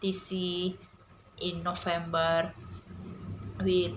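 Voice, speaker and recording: A woman's fairly low-pitched voice, bright and sharp in tone, at a very slow pace with audible room echo. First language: not English. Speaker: English language student. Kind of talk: prepared speech. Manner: halting, many fillers.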